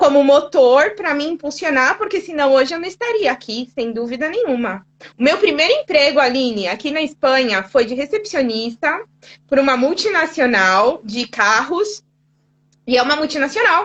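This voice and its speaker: The speaker has a São Paulo accent. The pitch swings very widely. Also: woman, high pitch for a woman, moderate pace. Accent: São Paulo Brazilian Portuguese. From São Paulo, Brazil. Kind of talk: conversational.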